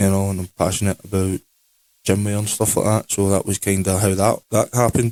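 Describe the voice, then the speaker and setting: In a Scottish accent, a man speaks at a fairly quick pace with a fairly low pitch, a dark, mellow tone and monotone, flat intonation, the very clean recording sounding dry and close with no echo against a silent background. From Scotland. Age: 20s. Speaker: podcast co-host, clothing brand owner. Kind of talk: casual chat.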